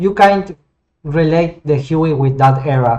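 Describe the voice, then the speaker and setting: A Spanish accent at a fairly slow pace. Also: man. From Argentina. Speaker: flight sim hobbyist and 3D modeler. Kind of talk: casual gameplay commentary. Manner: halting, with many repetitions and fillers.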